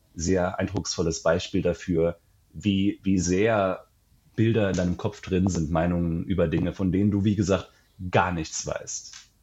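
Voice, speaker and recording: Very deep, low male speech with monotone, flat intonation and a moderate pace. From Germany, Saarland. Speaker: travel author. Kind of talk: casual interview. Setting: remote call.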